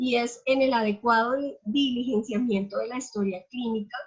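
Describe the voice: A moderate pace, a slightly husky edge and fairly even intonation. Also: woman, fairly high pitch for a woman.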